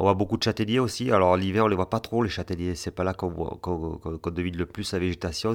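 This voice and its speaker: With a very deep, low pitch and fairly even intonation, the man is captured in a very clean recording with a silent background. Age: 40s. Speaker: farmer. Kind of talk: photo description interview. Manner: halting.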